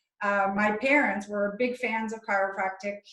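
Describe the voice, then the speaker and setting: Speaking at a moderate pace, a woman uses a medium pitch and a French Canadian accent. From French Canada. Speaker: chiropractor and author. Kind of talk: interview.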